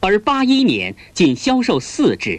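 In a stern tone, a man talks at a very slow pace. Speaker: documentary narrator. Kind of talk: 1980s newsreel documentary narration. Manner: formal, stern, measured official newsreel delivery; deliberate, declamatory, condemning tone.

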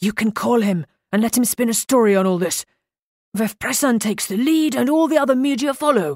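Whispering in a put-on character voice, a man speaks at a fairly quick pace.

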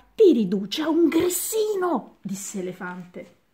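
A natural reading voice. Nothing more stands out.

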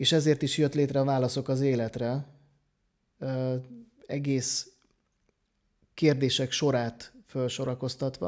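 A fairly slow, dark and mellow male voice with fairly even intonation over a quiet background. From Hungary. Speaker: podcast host, personal development coach. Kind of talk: interview. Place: home room. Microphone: studio mic.

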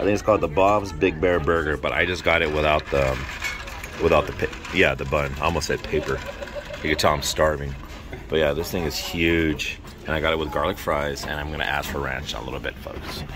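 Amid noticeable background noise, a man with a very deep, low pitch speaks at a fairly quick pace with fairly even intonation. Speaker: food vlogger. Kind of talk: casual food review vlog. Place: cafe. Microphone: phone near.

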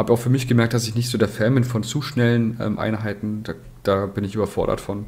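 A man's very fast, monotone delivery at a medium pitch, flat in intonation. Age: 30s. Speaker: tabletop wargaming player. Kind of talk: casual chat.

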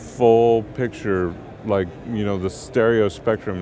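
There is noticeable background noise, yet the sound is dry with no echo. A man speaks at a fairly slow pace. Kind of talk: interview answer. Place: studio. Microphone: headset.

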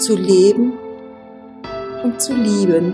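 Over music in the background, a woman speaks at a very slow pace in a calm tone with ordinary pitch variation. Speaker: narrator. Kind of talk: spiritual meditation reading. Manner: calm, slow.

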